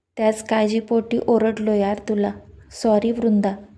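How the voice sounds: Natural voice for reading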